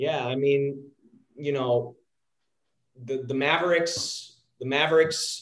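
A man with an American accent talks at a very slow pace, with a fairly high pitch and fairly even intonation. His speech has long, frequent pauses. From Texas, near Dallas. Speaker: sports analytics company founder, former sports agent. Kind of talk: podcast interview. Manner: halting, with frequent repetitions.

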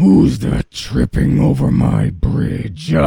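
Bellowing in a put-on character voice, a man speaks very slowly at a very deep, low pitch. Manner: roaring, aggressive.

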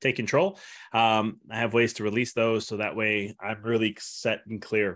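A man with an ordinary speaking voice and a fairly low pitch talks at a moderate pace against a quiet background. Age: 30s. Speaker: chiropractor and health coach. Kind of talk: interview.

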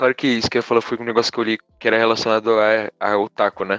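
Very fast speech in a dry, close sound with no echo. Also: man. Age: 20s. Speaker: podcast guest. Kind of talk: casual chat.

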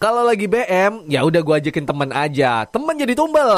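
This man has a high pitch. His tone is bubbly and upbeat. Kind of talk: radio DJ patter, a recorded morning-show broadcast played back. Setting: studio. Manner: bubbly, upbeat, chatty; Jakarta slang mixed with English catchphrases; rapid-fire, excitable, jokes and laughs mid-sentence.

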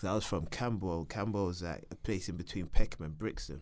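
A man with a South London accent speaks amid audible room echo. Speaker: reality TV contestant. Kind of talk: life story interview.

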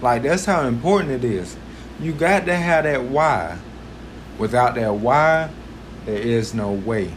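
Through noticeable background noise and audible room echo, a man speaks in an animated tone at a moderate pace with very wide pitch swings. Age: 20s. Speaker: podcast host. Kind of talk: motivational monologue.

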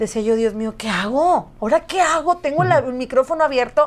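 This woman's voice is high in pitch. Her intonation is lively. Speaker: singer and radio host. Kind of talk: casual interview.

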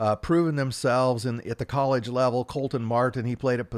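An unremarkable speaking voice with fairly even intonation, in a dry, close sound with no echo. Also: man. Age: 60s. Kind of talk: interview.

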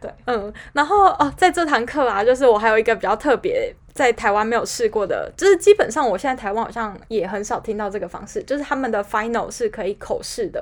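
A woman talks at a high pitch with very wide swings. Her pace is fairly quick, with hardly any pauses. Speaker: podcast co-host. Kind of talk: casual chat.

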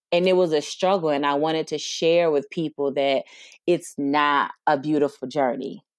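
Fairly even intonation in an American accent, with a dry, close sound, no echo and a quiet background. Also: woman. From US Midwest, Detroit, Michigan. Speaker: doctoral student and consultant. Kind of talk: casual interview.

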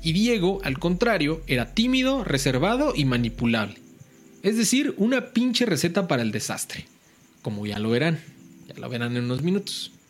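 A man's high-pitched voice at a moderate pace, with very wide pitch swings and music playing in the background. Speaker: podcast host. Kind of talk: true-crime storytelling. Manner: casual, slangy.

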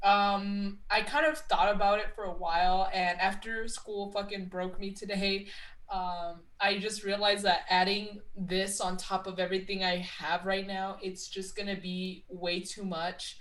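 A woman speaks at a fairly slow pace in an ordinary speaking voice, her medium pitch carried by fairly even intonation. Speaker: wrestling podcast co-host. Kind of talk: casual chat.

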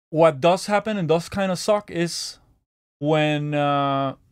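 On a very clean recording with a silent background, a man with a Spanish accent speaks at a fairly high pitch. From Venezuela. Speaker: podcast host and DJ/producer. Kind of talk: casual interview chat.

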